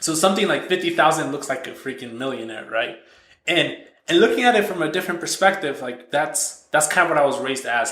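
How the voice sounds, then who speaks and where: There is audible room echo as a man talks at a very fast pace. His pitch varies in an ordinary way. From Mexico. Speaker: software entrepreneur. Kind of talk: podcast interview. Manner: many false starts and repetitions.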